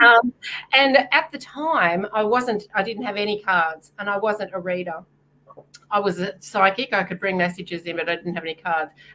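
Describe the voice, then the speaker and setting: With an Australian accent, a woman talks in a bright, sharp tone. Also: medium pitch for a woman, ordinary pitch variation, moderate pace. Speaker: psychic and author. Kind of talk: casual podcast interview.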